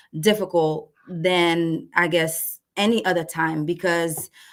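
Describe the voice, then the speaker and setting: With a Haitian accent, a woman speaks at a fairly slow pace. Her pitch is fairly low. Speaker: marriage and family therapist. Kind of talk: webinar presentation. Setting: live online webinar. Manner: halting.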